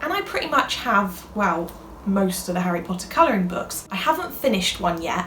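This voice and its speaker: Fairly quick, lively speech amid noticeable background noise and audible room echo. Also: woman. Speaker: YouTuber, crafts creator. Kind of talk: casual vlog chat. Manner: fast; animated.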